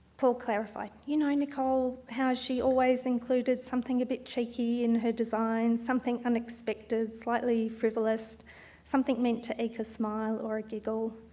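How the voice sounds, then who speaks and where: An Australian accent comes through as a woman speaks at a moderate pace with a fairly high pitch, a dark, mellow tone and monotone, flat intonation. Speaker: event organiser and speaker, landscape architect. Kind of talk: speech at memorial talk event. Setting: stage with audience, also streamed online. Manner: formal.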